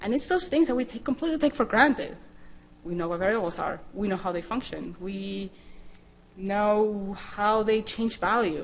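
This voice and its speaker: Lively intonation from a woman at a medium pitch and a moderate pace. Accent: Spanish. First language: Spanish. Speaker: scientist and programming instructor. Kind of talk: conference talk.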